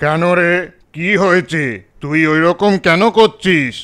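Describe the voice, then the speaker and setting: A man puts on a cartoonish character voice pitched high. He speaks at a fairly slow pace on a very clean recording with a silent background. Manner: authoritative, scolding.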